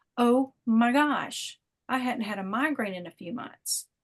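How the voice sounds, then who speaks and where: Over a quiet background, a woman speaks with a fairly high pitch and lively intonation. Her voice is somewhat breathy. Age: 50s. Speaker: wellness product distributor. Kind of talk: testimony. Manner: animated.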